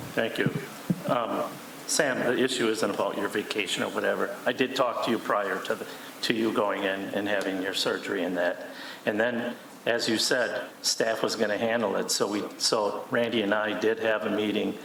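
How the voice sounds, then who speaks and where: Moderate-paced male speech with an American accent, audible room echo and noticeable background noise. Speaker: city council alderman. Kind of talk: heated council debate. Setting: council chamber meeting. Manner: loud.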